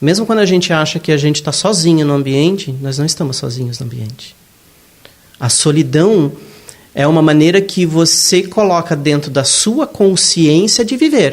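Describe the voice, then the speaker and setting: Noticeable background noise sits under a man's fairly high voice. He talks at a moderate pace with lively intonation. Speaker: spiritist lecturer. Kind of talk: lecture.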